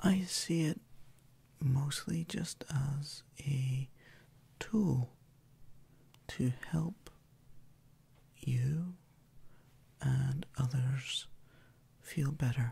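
Soft-spoken and somewhat breathy, a man with a fairly high pitch and a dark, mellow tone talks in a calm tone at a very slow pace with long, frequent pauses. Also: ordinary pitch variation. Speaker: Reiki practitioner and ASMR creator. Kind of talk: ASMR relaxation introduction. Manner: soft-spoken, calm, slow. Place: home room.

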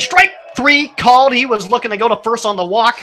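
A raised, projected voice at a fairly quick pace, with ordinary pitch variation and light background noise. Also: man. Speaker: radio play-by-play announcer. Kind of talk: live baseball play-by-play commentary. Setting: broadcast booth at ballpark. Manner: brisk, fluent, matter-of-fact play-by-play delivery with stats. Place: stadium.

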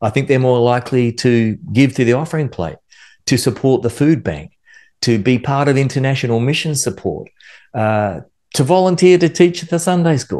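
Against a quiet background, a man speaks with an American accent and a dark, mellow tone. His intonation is lively and his pace moderate. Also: medium pitch for a man. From Australia. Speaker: worship music instructor. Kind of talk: instructional video monologue. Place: home room. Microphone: studio mic.

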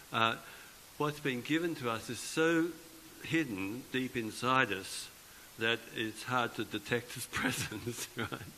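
A man speaks at a medium pitch with ordinary pitch variation and a very slow pace. Light background noise is present. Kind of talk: homily at Mass. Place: church. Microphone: podium.

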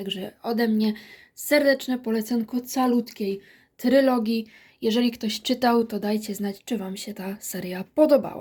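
The voice is somewhat breathy, with fairly even intonation and big swings in loudness at a fairly slow pace. The recording is very clean, with a silent background. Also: woman, fairly high pitch for a woman. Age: 20s. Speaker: book reviewer. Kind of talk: book review vlog.

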